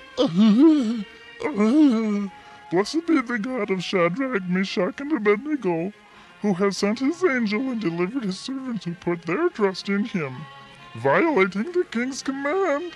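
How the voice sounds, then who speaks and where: A man's cartoonish character voice, high-pitched with very wide pitch swings and long, frequent pauses, over faint background music. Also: moderate pace. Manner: grandiose, laughing.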